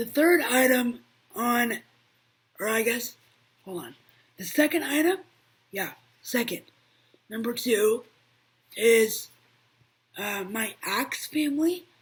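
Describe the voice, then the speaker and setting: Putting on a raspy character voice, a woman speaks high and fairly slowly, with lively intonation, big swings in loudness and long, frequent pauses. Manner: loud, raised voice.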